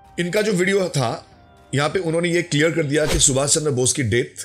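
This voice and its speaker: A man speaks with lively intonation and a somewhat breathy voice. The recording is very clean with a silent background. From West Bengal, India. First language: Bengali (speaking Hindi). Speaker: YouTuber, history commentator. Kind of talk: commentary video, rebuttal.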